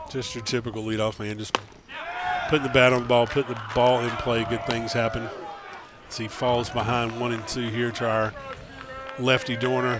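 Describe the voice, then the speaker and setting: A man at medium pitch talks at a moderate pace in a monotone, flat intonation, with long, frequent pauses. Noticeable background noise sits behind him. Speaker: baseball color commentator. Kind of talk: live sports commentary. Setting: broadcast booth.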